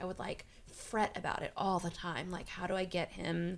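A woman is speaking here. Her pace is moderate. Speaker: improviser. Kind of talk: casual chat. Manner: loud; animated.

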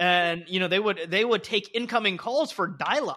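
A raised, projected voice with a bright, sharp tone, ordinary pitch variation and a moderate pace over a quiet background. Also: man. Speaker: podcast host. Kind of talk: casual chat.

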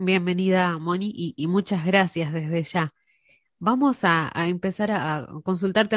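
A plain, everyday voice from a woman, fairly low in pitch with ordinary variation, with a dry, close sound with no echo and a quiet background. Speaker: radio host. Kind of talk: interview.

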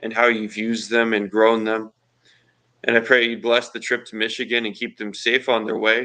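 A man's medium-pitched voice, bright and sharp in tone, flat and monotone in intonation, at a moderate pace against a quiet background. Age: 20s. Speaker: pastoral intern. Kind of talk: self-introduction in church service.

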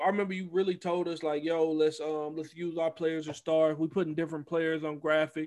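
A man at a fairly quick pace, fairly high in pitch, with flat, monotone intonation. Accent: Southern US. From US South, Mississippi Gulf Coast. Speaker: esports team coach and league owner. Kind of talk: casual chat.

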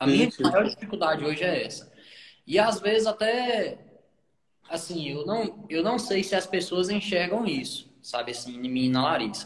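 Pitch swings very widely while the speech keeps a moderate pace. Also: man, high pitch for a man. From Brazil, Brasília outskirts. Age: 20s. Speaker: pastor. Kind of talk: casual chat.

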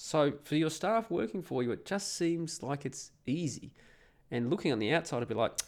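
A man with an Australian accent, moderate pace and very wide pitch swings. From Perth, Australia. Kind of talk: casual monologue, opinionated rant. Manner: informal, sweary, rambling.

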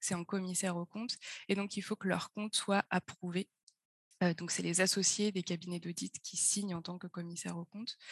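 Her voice is somewhat breathy and medium in pitch, delivered in a monotone, flat way. The sound is dry and close, with no echo. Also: moderate pace. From France, Auvergne (Puy-de-Dôme). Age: 20s. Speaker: startup co-founder and finance chief. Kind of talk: interview. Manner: hesitant, many fillers.

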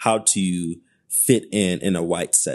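Against a quiet background, a man with an American accent talks in a fairly low voice with ordinary pitch variation. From Detroit, Michigan, US. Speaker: community activist. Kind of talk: casual interview. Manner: hesitant, many fillers.

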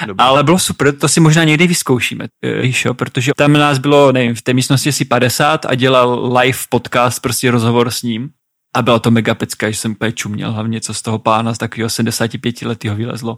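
An unremarkable speaking voice moves at a fairly quick pace with fairly even intonation, its sound dry and close with no echo on a very clean recording with a silent background. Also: man, medium pitch for a man. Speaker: podcast co-host, adventurer. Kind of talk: casual chat.

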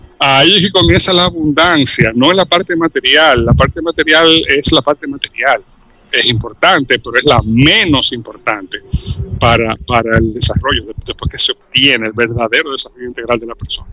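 Heard dry and close with no echo, a man with a plain, everyday voice speaks at a fairly high pitch and a moderate pace, his intonation lively. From Dominican Republic. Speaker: cultural commentator. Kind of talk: radio interview.

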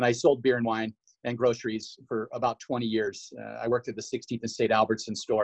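In an American accent, a man talks at a fairly quick pace with a medium pitch and monotone, flat intonation, in a dry, close sound with no echo. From Washington. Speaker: chamber of commerce marketing staff. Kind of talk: casual interview.

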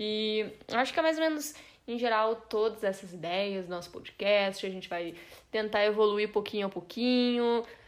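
A woman with a plain, everyday voice talks at a moderate pace, her fairly high pitch showing ordinary pitch variation. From Brazil. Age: 20s. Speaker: podcast co-host, journalist. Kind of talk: casual chat.

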